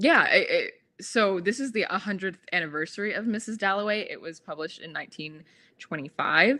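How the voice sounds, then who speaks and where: Her intonation lively, a woman speaks at a medium pitch in a bright, sharp tone. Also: big swings in loudness. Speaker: book youtuber. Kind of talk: live stream casual chat. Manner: halting, many fillers.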